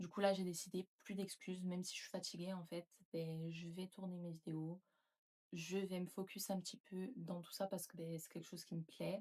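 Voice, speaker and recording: Dark, mellow tone from a woman, somewhat breathy, in monotone, flat intonation. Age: 20s. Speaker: YouTuber and nurse. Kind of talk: casual vlog talk to camera.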